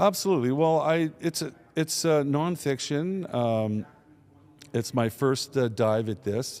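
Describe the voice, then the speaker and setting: A man speaks in a plain, everyday voice at a fairly slow pace. His intonation is lively. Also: fairly high pitch for a man. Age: 60s. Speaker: business executive and author. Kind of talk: interview. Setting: conference venue.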